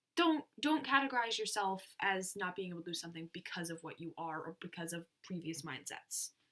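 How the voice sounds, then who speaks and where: In a normal speaking voice with an American accent, a woman with a fairly low pitch talks at a fairly quick pace, with big swings in loudness and hardly any pauses. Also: lively intonation. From United States. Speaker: youtuber. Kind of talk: casual chat.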